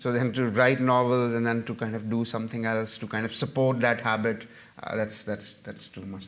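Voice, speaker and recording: A man with a medium pitch is heard with audible room echo. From Pakistan, Punjab. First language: Punjabi. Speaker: novelist and journalist. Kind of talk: audience Q&A after a lecture. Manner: halting, many fillers and repetitions.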